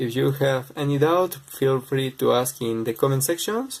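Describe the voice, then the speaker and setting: Speaking with a non-native accent, a man uses a fairly high pitch and ordinary pitch variation at a moderate pace. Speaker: speedcubing tutorial maker. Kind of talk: tutorial.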